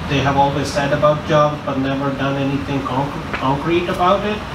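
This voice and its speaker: Fairly even intonation from a man, with noticeable background noise. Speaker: election candidate. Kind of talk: campaign speech.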